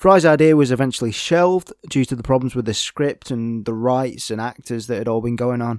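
A man with a British accent at a fairly quick pace, dry and close with no echo, on a very clean recording with a silent background. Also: medium pitch for a man, ordinary pitch variation. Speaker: film podcast host. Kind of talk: solo podcast monologue. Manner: halting, many fillers.

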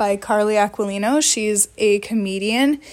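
Here is a woman with an American accent. Her voice is fairly high, with ordinary pitch variation. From Wisconsin. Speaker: podcast co-host. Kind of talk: casual chat.

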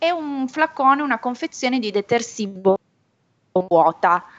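Pitch swings very widely in this woman's voice. She speaks fairly slowly. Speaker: association representative. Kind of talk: educational quiz. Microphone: unstable connection.

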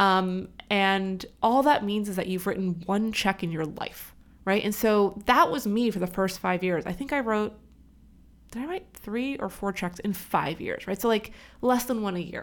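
A woman with a normal speaking voice and an American accent talks at a moderate pace and medium pitch, with ordinary pitch variation, in a very clean recording with a silent background. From California. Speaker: business school dean and angel investor. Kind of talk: interview. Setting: studio.

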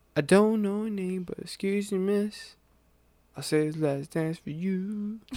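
A man with a high voice for his sex speaks at a fairly slow pace in an American accent, his tone dark and mellow. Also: ordinary pitch variation. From US, urban neighborhood. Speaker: podcast co-host. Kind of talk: casual chat.

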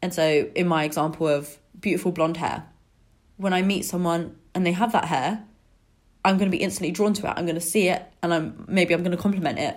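A woman speaks in an ordinary speaking voice, fairly low-pitched, at a fairly quick pace with fairly even intonation. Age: 20s. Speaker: podcast host. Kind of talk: solo podcast monologue. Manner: casual, conversational.

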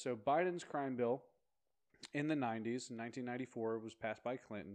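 An ordinary speaking voice, fairly even in intonation, moving at a moderate pace. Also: man. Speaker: podcast co-host. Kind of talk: casual chat.

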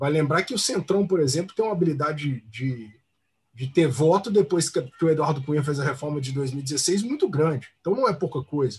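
Somewhat breathy and fairly high-pitched, a man speaks at a moderate pace with lively intonation. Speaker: oil workers' union director. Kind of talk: casual political discussion. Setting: live video stream.

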